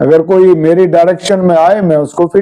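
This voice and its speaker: Noticeable background noise fills the clip. Through it, a man talks with a high pitch. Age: 60s. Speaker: wellness and health coach. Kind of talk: interview.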